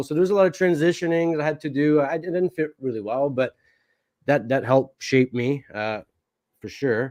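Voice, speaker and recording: This man has a Quebec accent and ordinary pitch variation. He talks at a moderate pace. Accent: French-Canadian accent in English. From Quebec, Canada; moved to Alberta at ten. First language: French. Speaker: podcast guest sharing personal story. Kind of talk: interview conversation.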